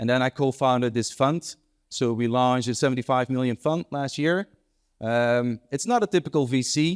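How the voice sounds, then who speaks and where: On a very clean recording with a silent background and a dry, close sound with no echo, a man with a Dutch accent speaks at a medium pitch and a fairly quick pace with fairly even intonation. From Netherlands, Amsterdam. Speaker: entrepreneur and investor. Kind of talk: panel interview. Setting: stage with audience. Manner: smooth.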